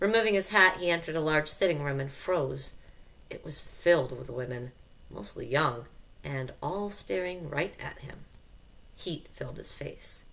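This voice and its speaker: Her very deep, low voice carries vocal fry, and this woman's intonation is lively. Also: moderate pace, big swings in loudness. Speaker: audiobook narrator. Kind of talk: literary audiobook reading, scripted narration. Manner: steady, measured storytelling pace with a warm, expressive narrator's tone. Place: home room. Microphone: headset.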